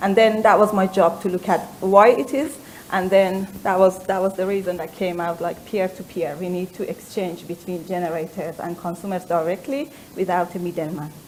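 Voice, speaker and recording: A speaker with an Iranian accent talks at a moderate pace with ordinary pitch variation. The loudness swings widely from moment to moment. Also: woman, medium pitch for a woman. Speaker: company founder, former research scientist. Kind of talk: panel discussion. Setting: stage with audience. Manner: halting.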